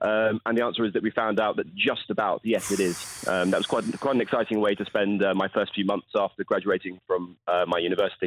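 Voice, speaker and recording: Speaking in a southern English accent, a man talks at a very fast pace with hardly any pauses, very even loudness and a monotone, flat intonation. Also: fairly low pitch for a man. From southern England, Portsmouth. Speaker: polar explorer. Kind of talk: radio interview. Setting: phone call. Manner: halting.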